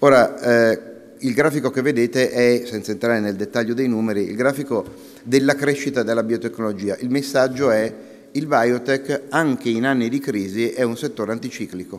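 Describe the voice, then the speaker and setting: This man's delivery is neither rushed nor slow, and his pitch rises and falls in a typical way. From northern Italy, Milan; northern Italy. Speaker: industry association president, physician. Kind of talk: conference talk. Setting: conference with audience. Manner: hesitant, many fillers. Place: hall. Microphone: podium.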